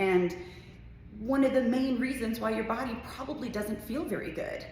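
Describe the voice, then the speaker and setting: An animated woman's voice, fairly high in pitch with ordinary variation, at a moderate pace amid audible room echo and noticeable background noise. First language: not English. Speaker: fitness coach. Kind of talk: casual talk to camera.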